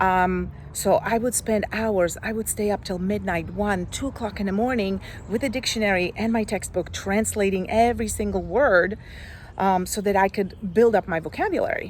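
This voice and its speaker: With a Slovak accent, a woman talks at a moderate pace in a medium pitch, with vocal fry and ordinary pitch variation. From Slovakia. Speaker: life coach. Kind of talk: personal story vlog. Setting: outdoors.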